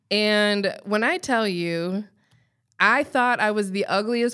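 In an American accent, a woman talks at a fairly slow pace and a medium pitch. She has an ordinary speaking voice, captured in a very clean recording with a silent background. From Colorado, US. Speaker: podcast co-host. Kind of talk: casual chat.

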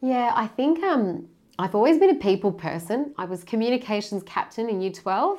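Over a quiet background, a woman with an Australian accent talks in a dark, mellow tone, her pitch swinging very widely. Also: fairly high pitch for a woman, moderate pace. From Sydney, Australia. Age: 30s. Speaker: charity founder and community engagement head. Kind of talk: interview conversation.

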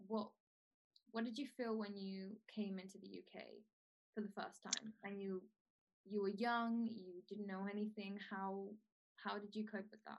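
At a medium pitch, a woman talks at a fairly slow pace with long, frequent pauses. Her delivery is monotone and flat. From Venezuela. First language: Spanish. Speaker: podcast host. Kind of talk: interview.

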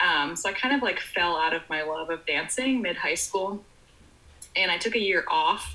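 There is music in the background. Over it, a woman talks at a moderate pace. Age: 20s. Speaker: dance teacher. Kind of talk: casual interview. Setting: video call.

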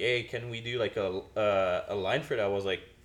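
This speaker talks in a Quebec accent at a fairly slow pace. The intonation stays fairly even. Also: man. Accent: Québécois French-accented English. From Quebec, Canada. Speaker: podcast host. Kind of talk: casual chat.

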